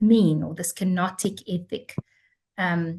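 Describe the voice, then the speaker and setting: Somewhat breathy, a woman speaks with a South African accent. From South Africa, Cape Town. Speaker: theology professor. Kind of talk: lecture.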